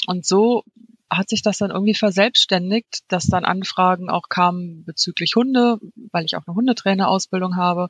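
In a dry, close sound with no echo, a woman speaks at a medium pitch and moderate pace, somewhat breathy, with fairly even intonation. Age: 40s. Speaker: freelance copywriter and blogger. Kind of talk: interview.

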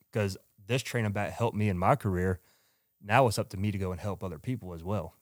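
Speaking very fast in a strong Southern US accent, a man uses a fairly low pitch with ordinary variation, in a very clean recording with a silent background. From Georgia, US South. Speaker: company owner, former baseball player. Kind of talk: casual podcast interview.

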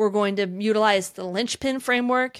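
A woman with an ordinary speaking voice talks at a moderate pace and a fairly high pitch, with ordinary pitch variation, in a very clean recording with a silent background. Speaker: podcast host, online business consultant. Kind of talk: casual conversational podcast discussion.

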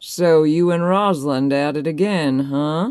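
A gruff, put-on character voice at a middle pitch moves along at a moderate pace. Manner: mocking.

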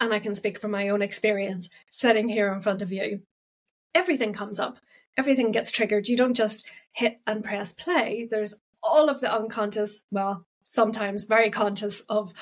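A woman with a fairly high pitch talks at a fairly quick pace, her pitch varying in an ordinary way. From Ireland. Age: 40s. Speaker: podcast host. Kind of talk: solo podcast talk.

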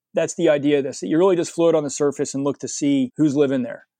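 A man with an American accent, a fairly high voice and a dark, mellow tone, dry and close with no echo, over a quiet background. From US Northeast, suburban New Jersey. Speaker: freshwater naturalist and educator. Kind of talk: casual interview. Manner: animated.

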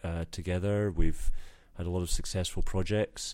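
The recording is very clean, with a silent background. A man with an American accent speaks at a fairly slow pace in a dark, mellow tone with fairly even intonation. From Scotland. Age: 40s. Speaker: parking consultant, company founder. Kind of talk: casual interview. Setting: trade show.

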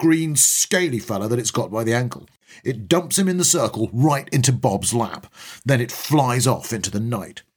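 Natural reading voice alone

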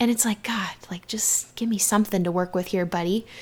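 A woman speaks at a medium pitch. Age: 20s. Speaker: podcast host. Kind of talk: solo podcast monologue. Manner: casual, filler-heavy.

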